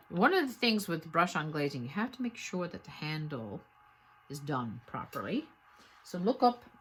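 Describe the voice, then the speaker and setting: A woman speaks at a fairly low pitch with a slight Newfoundland accent. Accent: slight Irish-sounding Newfoundland brogue. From Newfoundland, Canada. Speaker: potter. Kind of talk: tutorial. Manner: casual, conversational with hesitations.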